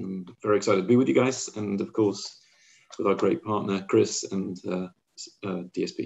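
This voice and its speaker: A man with a British accent speaks in a fairly low voice at a moderate pace. His loudness swings widely. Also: ordinary pitch variation. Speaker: company executive. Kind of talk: live webinar interview.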